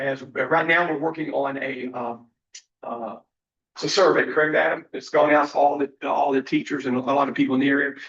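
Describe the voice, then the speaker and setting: With a Virginia accent, a man speaks at a fairly high pitch in a monotone, flat intonation. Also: fairly quick pace. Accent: Southern US (Virginia). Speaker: college president. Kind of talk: board meeting report. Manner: fast.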